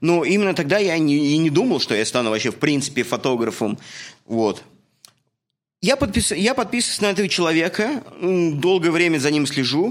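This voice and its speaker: A man's high-pitched voice with very wide pitch swings and very even loudness, at a moderate pace with long, frequent pauses, on a very clean recording with a silent background. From Russia. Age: 30s. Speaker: podcast host, construction worker and photographer. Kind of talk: casual chat, podcast introduction. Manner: informal, friendly, chatty.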